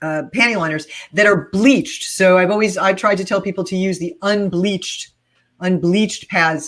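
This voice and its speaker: Speaking at a moderate pace, a woman with an ordinary speaking voice keeps a medium pitch and ordinary pitch variation. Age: 60s. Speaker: OB-GYN doctor. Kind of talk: casual chat.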